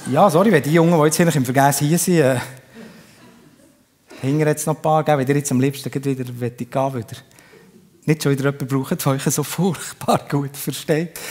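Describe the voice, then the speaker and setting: With a Bernese accent, a man speaks at a moderate pace and a fairly high pitch, keeping fairly even intonation and taking long, frequent pauses. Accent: Bernese Swiss German. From Bern, Switzerland. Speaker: comedian. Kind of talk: live stage comedy. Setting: live theatre audience.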